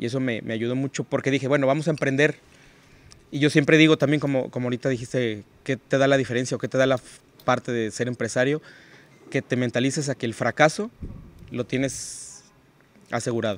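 Recorded dry with no echo, a man at medium pitch talks at a fairly quick pace with fairly even intonation and long, frequent pauses. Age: 40s. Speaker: financial advisor and entrepreneur; podcast guest. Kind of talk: interview conversation. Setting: hotel recording location. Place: open country. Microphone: studio mic.

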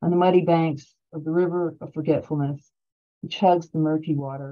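A woman's very deep, low voice with an American accent, monotone and flat, at a moderate pace over a quiet background. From Ohio, Cleveland; Ohio. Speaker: poet and college professor; poet, college professor. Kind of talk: poetry reading. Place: home room. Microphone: webcam.

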